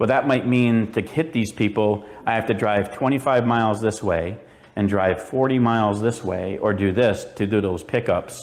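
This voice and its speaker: Audible room echo surrounds a man speaking at a moderate pace and medium pitch, with ordinary pitch variation and very even loudness. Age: 50s. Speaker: mobile shear sharpener. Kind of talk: conference presentation. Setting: stage with audience.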